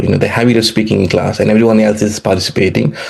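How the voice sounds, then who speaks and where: A man speaks in a Nepali accent. His pitch is medium. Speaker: economics professor. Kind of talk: interview. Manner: halting, many fillers and repetitions.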